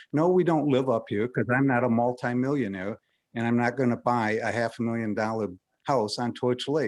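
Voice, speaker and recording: In an ordinary speaking voice, a man talks at a fairly quick pace and medium pitch with ordinary pitch variation against a quiet background. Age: 60s. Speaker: member of the public at hearing. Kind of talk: public comment.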